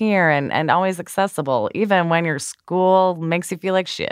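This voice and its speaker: At a moderate pace, a woman speaks with a fairly low pitch. It is a normal speaking voice. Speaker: podcast host. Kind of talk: casual chat.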